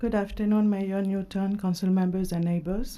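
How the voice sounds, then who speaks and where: A woman talks in a dark, mellow tone with a non-native accent. Her pace is fairly quick. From immigrant to the US. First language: not English. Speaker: council seat candidate, civic association president. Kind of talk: prepared opening statement at public interview. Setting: city hall public panel.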